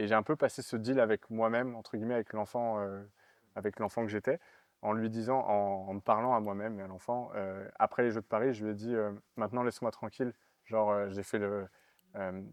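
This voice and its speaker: A man with a fairly low voice talks at a fairly quick pace in a flat monotone, his loudness swinging widely. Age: 30s. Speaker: Olympic fencer. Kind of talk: interview. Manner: hesitant, many fillers.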